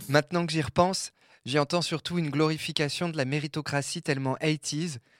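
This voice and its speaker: At a moderate pace, a man speaks in a plain, everyday voice with a fairly high pitch and fairly even intonation, recorded very cleanly against a silent background. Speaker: audio creator, queer contributor. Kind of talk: scripted audio essay narration.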